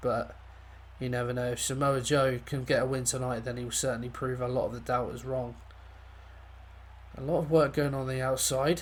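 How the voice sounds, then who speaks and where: There is audible echo from the room. The voice belongs to a man. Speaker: gaming commentator. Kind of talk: live commentary.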